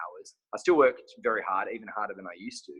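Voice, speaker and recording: Talking at a very fast pace, a man speaks in an Australian accent. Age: 30s. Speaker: clothing brand owner and physique competitor. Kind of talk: casual interview chat.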